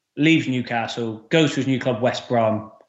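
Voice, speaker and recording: In an English accent, a man talks at a medium pitch with fairly even intonation, and the room echo is audible. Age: 30s. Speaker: football fitness coach. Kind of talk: casual chat.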